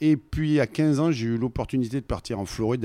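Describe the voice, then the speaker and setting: A man speaks at a moderate pace in a Provençal accent. The sound is dry and close with no echo, on a very clean recording with a silent background. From Marseille, southern France. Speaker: orchestral trombonist. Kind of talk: casual interview.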